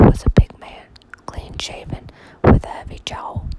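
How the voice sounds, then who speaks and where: Whispering over noticeable background noise. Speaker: ASMR reader. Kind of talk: whispered audiobook reading of a mystery novel. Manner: whispered.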